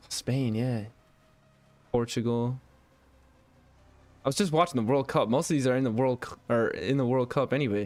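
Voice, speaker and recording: Medium pitch from a man with an American accent, moderate pace, ordinary pitch variation, long and frequent pauses, and music in the background. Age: 20s. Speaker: gaming streamer. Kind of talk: live gameplay commentary. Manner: casual, rambling.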